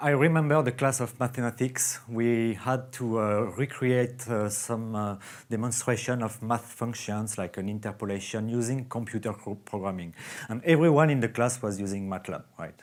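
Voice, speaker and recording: A man with a French accent and ordinary pitch variation in a very clean recording with a silent background. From France. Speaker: software company founder. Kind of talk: conference talk. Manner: halting.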